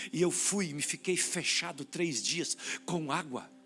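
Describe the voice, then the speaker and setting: A high-pitched man talks as music plays in the background. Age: 60s. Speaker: pastor. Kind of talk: sermon.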